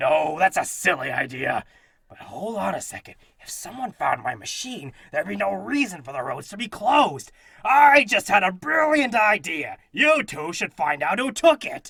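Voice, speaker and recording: A man does a put-on character voice at a high pitch. His pace is moderate. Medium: audio drama. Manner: blustery, dramatic.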